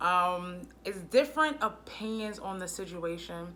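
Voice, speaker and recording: A woman's medium-pitched voice with an American accent, bright and sharp in tone, with audible room echo. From US Northeast (Brooklyn, New York). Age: 30s. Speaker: vlogger. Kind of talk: casual vlog monologue.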